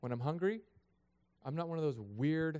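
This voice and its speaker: Here a man speaks in an animated tone at a moderate pace. His intonation is lively. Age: 30s. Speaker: pastor. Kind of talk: sermon.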